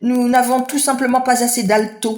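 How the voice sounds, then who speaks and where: In a put-on character voice, the speaker holds a fairly high pitch with monotone, flat intonation. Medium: read story.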